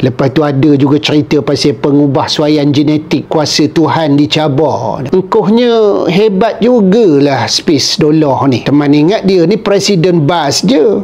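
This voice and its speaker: With a strong Perak accent, the speaker goes at a fairly slow pace with hardly any pauses, against noticeable background noise. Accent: thick Perak Malay. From Perak, Malaysia. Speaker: YouTuber. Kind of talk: casual vlog narration. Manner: conversational.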